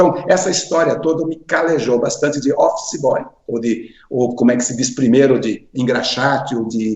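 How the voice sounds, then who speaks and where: A man at a medium pitch and moderate pace, with ordinary pitch variation, over noticeable background noise. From Brazil, interior of Paraná. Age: 60s. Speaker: finance executive, association president. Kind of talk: interview. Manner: halting, with self-corrections.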